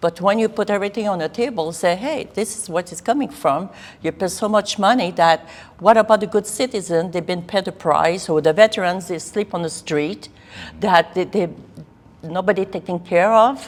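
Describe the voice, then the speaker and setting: Woman at medium pitch and moderate pace, with ordinary pitch variation and big swings in loudness. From Quebec. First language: French. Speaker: political candidate. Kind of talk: interview. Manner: intense.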